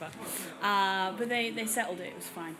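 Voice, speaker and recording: A woman's medium-pitched voice in a London accent, with fairly even intonation, audible room echo and music in the background. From West London (Ealing), England, Polish community. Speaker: hardcore record label owner and musician. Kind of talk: interview. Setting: after a gig at a London venue. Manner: casual, with many fillers.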